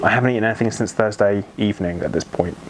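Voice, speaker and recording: Through noticeable background noise, a man talks with fairly even intonation. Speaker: thyroid cancer patient vlogger. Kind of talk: personal vlog testimony. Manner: hesitant, many ums.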